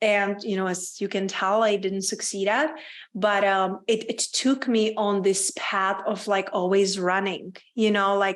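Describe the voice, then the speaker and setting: Speech with a Czech accent comes at a fairly slow pace with fairly even intonation. The background is quiet. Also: woman, medium pitch for a woman. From Czech Republic, small town. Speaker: women's business coach. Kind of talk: podcast interview.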